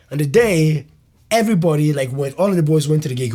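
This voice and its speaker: Somewhat breathy and dark, mellow in tone, a man's fairly high voice moves at a very fast pace with lively intonation. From Ireland, Nigerian family. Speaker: comedian. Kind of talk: casual interview chat. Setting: in-person podcast interview. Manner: animated, halting with many fillers.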